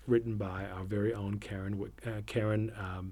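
A man's somewhat breathy, fairly low voice comes out in a monotone, flat intonation. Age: 40s. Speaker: theatre artistic director. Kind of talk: casual chat.

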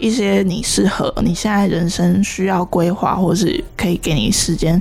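A woman with a Taiwanese accent is heard over noticeable background noise. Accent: Taiwanese Mandarin. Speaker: podcast host. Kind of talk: casual chat.

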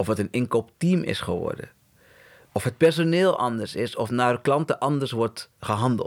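With lively intonation, a man talks at a medium pitch and a moderate pace in an unremarkable speaking voice. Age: 40s. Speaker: agency co-founder. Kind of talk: interview.

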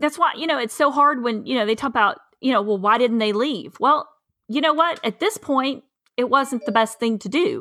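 Raising and projecting her high voice, a woman speaks at a moderate pace in a Southern US accent with lively intonation. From East Tennessee. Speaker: farmer. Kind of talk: casual chat.

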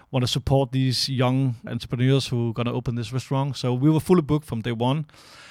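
Someone talks at a fairly quick pace with a Danish accent and fairly even intonation. The sound is dry and close with no echo, on a very clean recording with a silent background. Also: man. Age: 30s. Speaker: restaurant owner and manager. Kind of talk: casual interview conversation. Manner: halting, searching for words.

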